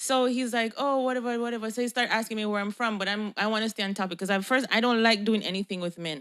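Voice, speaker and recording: A woman with a Jamaican accent at a very fast pace with hardly any pauses and ordinary pitch variation. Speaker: podcast co-host, spiritual healer. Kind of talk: casual chat. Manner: animated storytelling.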